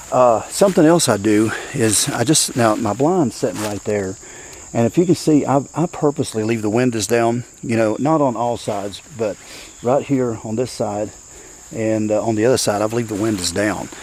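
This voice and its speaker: A man speaks at a medium pitch with ordinary pitch variation. Noticeable background noise runs underneath. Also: moderate pace. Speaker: bowhunter. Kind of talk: outdoor vlog. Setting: outdoors in the woods. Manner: hesitant, filler-heavy.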